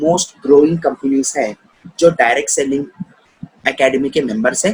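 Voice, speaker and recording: A man is talking. He uses lively intonation. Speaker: network marketing business promoter. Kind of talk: business plan presentation.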